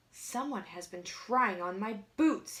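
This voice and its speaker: A woman's loud, bellowing, growling put-on character voice, fairly high in pitch, at a fairly slow pace. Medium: read story. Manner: loud, roaring.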